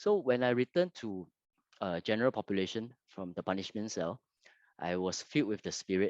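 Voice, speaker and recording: With a Fujianese accent, a man speaks at a fairly low pitch with lively intonation. The sound is dry and close with no echo, over a quiet background. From Singapore. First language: Hokkien. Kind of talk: testimony. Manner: halting, many fillers.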